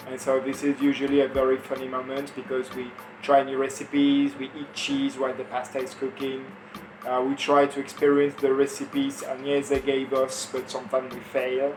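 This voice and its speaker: Man at a medium pitch, fairly quick, monotone and flat, with big swings in loudness, over noticeable background noise. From France. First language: French. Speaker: farm volunteer. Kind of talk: interview. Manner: halting.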